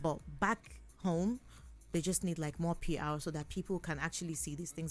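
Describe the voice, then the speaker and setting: A woman with a Nigerian accent at a moderate pace, fairly low pitch and vocal fry, in a very clean recording with a silent background. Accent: Igbo Nigerian. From Nigeria, Igbo southeast. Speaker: singer. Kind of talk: interview answer.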